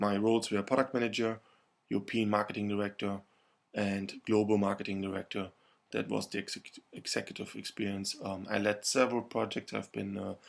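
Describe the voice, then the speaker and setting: A man with a German accent talks at a fairly quick pace in a fairly low, monotone voice with flat intonation. The recording is very clean, with a silent background. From Germany. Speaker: marketing lecturer. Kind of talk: lecture.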